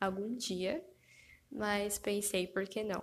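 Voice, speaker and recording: Her pitch medium, a woman speaks at a very slow pace. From Brazil. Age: 20s. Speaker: podcast host, physiotherapy student. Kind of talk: solo podcast introduction, casual monologue. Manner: animated, gesturing with hands; laughing often.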